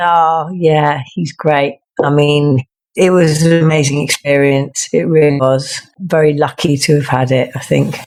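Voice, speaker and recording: With an English accent, a woman speaks at a very deep, low pitch, her intonation fairly even and her loudness very even. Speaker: singer-songwriter. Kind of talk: interview.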